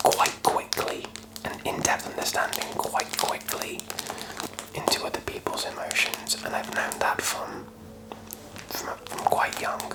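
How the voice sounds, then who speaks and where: Whispering in a relaxed tone, a man speaks at a fairly slow pace with long, frequent pauses against noticeable background noise. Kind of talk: ASMR whispered ramble. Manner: whispered, soft, relaxed.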